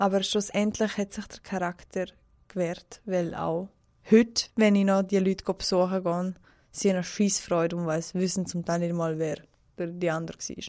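A woman with a dark, mellow tone speaks at a moderate pace in a flat, monotone delivery, on a very clean recording with a silent background. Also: medium pitch for a woman. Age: 20s. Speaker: guest, works in hospitality service. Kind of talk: casual chat.

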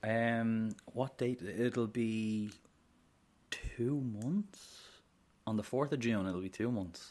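A man talks at a very slow pace and medium pitch. He leaves long, frequent pauses, and his pitch varies in an ordinary way. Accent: Dublin. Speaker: menswear content creator. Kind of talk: casual interview chat.

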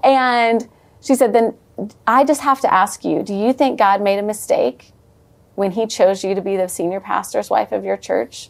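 A woman with a fairly high pitch speaks with an American accent. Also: ordinary pitch variation, moderate pace. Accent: slight Texan, stronger around family. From Amarillo, Texas. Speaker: church leader and women's ministry founder. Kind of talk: casual interview chat.

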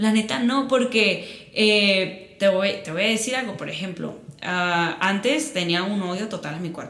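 A woman speaks at a fairly slow pace with a slight Sinaloan accent over noticeable background noise. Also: medium pitch for a woman, ordinary pitch variation. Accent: Sinaloan Mexican Spanish, slight. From Mexico, Sinaloa (Mazatlán). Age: 20s. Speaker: content creator. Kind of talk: casual chat. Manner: animated.

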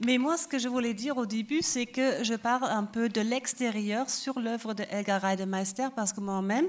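A woman with a German accent speaks at a fairly high pitch with ordinary pitch variation on a very clean recording with a silent background. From Germany. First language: German (speaking French). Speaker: film festival artistic director. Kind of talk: panel talk. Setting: public venue with live audience. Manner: halting, searching for words.

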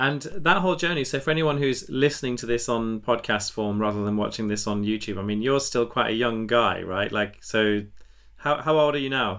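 A man speaks fairly quickly in an ordinary speaking voice at a medium pitch with ordinary pitch variation. The recording is very clean, with a silent background. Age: 40s. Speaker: podcast host and author. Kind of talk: casual interview.

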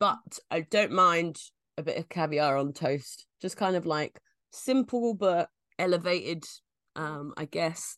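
A woman speaks at a fairly slow pace with a fairly low pitch and ordinary pitch variation. The sound is dry and close with no echo, over a quiet background. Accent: London. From London. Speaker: comedian. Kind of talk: casual chat. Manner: halting, filler-heavy.

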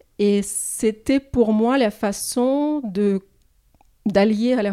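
A woman with a Russian accent at a very slow pace, fairly high in pitch with ordinary variation, dark and mellow in tone, in a dry, close sound with no echo and a very clean recording with a silent background. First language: Russian (speaking French). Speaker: lawyer. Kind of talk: interview.

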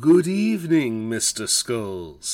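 Using a put-on character voice, a man speaks at a medium pitch with very wide pitch swings. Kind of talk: sophisticated, polished. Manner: projecting.

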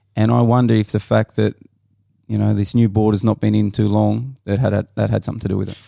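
A man speaks very fast with an Australian accent. The sound is dry and close, with no echo. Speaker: former footballer and coach. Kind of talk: casual panel chat. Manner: animated.

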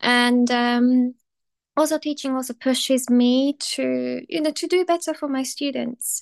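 Recorded with a dry, close sound and no echo against a quiet background, the speaker talks fairly slowly with fairly even intonation in a Japanese accent. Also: woman, high pitch for a woman. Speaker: pole and ballet performer, pole teacher. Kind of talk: casual interview chat.

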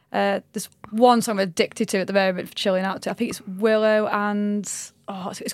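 A woman's fairly quick, monotone, flat delivery with big swings in loudness, in a very clean recording over a silent background. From Stoke-on-Trent, England. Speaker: personal trainer. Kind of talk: casual chat.

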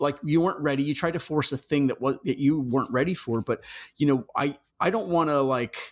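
A man speaks in a plain, everyday voice, fairly quick and fairly high in pitch. His pitch varies in an ordinary way, his loudness stays very even, and the recording is very clean with a silent background. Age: 50s. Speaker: horror magazine editor. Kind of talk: casual chat.

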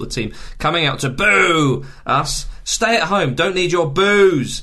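A man with a British accent speaks with very wide pitch swings. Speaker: football podcast host. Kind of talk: casual chat.

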